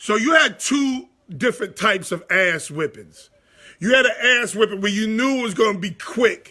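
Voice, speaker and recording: A man's high-pitched, raised and projected voice, animated and bright with a sharp tone, lively intonation and a moderate pace. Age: 40s. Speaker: sports talk show host. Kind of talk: casual storytelling on a live show. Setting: live stream.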